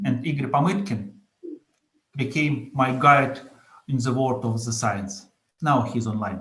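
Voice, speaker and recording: A man with a Russian accent, medium pitch and ordinary pitch variation, fairly slow pace, long and frequent pauses, and audible room echo. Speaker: entrepreneur. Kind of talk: conference presentation. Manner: halting.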